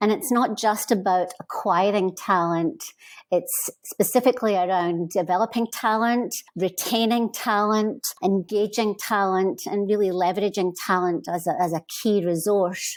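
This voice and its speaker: In a very clean recording with a silent background, a woman with a Scottish accent speaks at a medium pitch with ordinary pitch variation. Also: moderate pace. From Scotland. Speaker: HR consultant. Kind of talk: interview.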